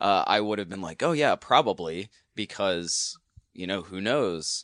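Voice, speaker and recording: A man with an American accent talks at a fairly slow pace and a fairly low pitch, in a normal speaking voice. The sound is dry and close, with no echo. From US South. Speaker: filmmaker. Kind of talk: casual chat.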